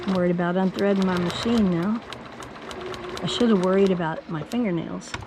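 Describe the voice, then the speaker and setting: A woman at medium pitch speaks fairly quickly with fairly even intonation and long, frequent pauses, amid noticeable background noise and audible room echo. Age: 70s. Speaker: quilt business owner. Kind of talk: tutorial. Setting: home studio.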